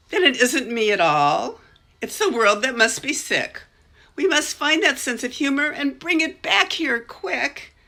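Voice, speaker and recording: In a put-on character voice, a woman speaks at a moderate pace and a high pitch, on a very clean recording with a silent background. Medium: read story.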